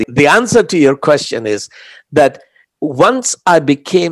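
A man with an Indian accent speaks at a fairly high pitch, the sound dry and close with no echo. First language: Hindi. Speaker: author. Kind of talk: interview.

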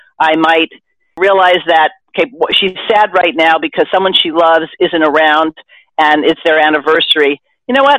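A woman with a plain, everyday voice, fairly low in pitch, talks at a moderate pace. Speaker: podcast host. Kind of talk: casual discussion.

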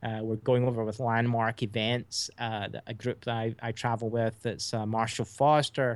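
Monotone and flat, a medium-pitched man talks at a moderate pace in an American accent. The recording is very clean, with a silent background. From Scotland, Hamilton. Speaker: documentary filmmaker. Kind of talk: interview.

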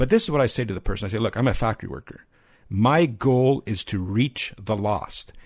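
A man's normal speaking voice, medium in pitch, fairly quick and with lively intonation. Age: 50s. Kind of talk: interview.

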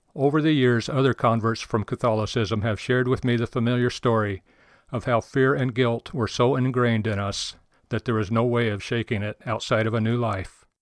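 Against a quiet background, a man with an American accent and an ordinary speaking voice talks fairly quickly at a medium pitch with fairly even intonation, the sound dry and close with no echo. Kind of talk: testimony.

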